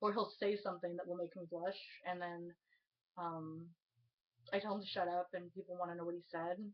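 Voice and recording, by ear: Speaking at a fairly quick pace, a woman keeps a fairly low pitch with little pitch movement.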